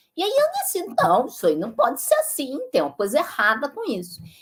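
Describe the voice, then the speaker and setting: Her high voice swings very widely in pitch as this woman talks. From Brazil. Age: 60s. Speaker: physicist and professor. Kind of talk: interview answer.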